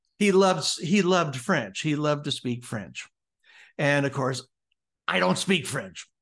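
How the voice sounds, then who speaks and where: Speaking at a fairly slow pace with long, frequent pauses, a man with an American accent uses vocal fry and very wide pitch swings against a quiet background. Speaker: speaker and author, former actor. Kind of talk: interview, storytelling about his book. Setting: video call from Hawaii.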